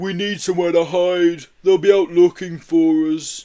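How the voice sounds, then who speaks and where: In a put-on character voice, a man speaks gruffly at a moderate pace, pitched high with monotone, flat intonation. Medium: read story.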